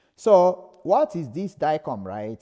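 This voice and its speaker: The speaker has a Nigerian accent and a dark, mellow tone. Very wide pitch swings stand out against a quiet background. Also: man. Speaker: lecturer. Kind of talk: lecture. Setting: live stream.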